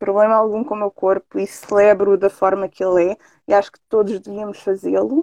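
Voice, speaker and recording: Speaking at a moderate pace, a woman with a fairly high pitch and a dark, mellow tone is heard in a dry, close recording with no echo. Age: 30s. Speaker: adult content performer and model. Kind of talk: casual interview on live stream.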